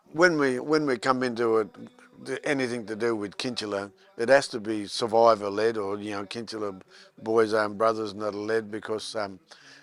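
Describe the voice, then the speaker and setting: Music runs in the background behind a man. He talks at a fairly quick pace and a medium pitch. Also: fairly even intonation. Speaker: Stolen Generations survivor. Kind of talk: testimony.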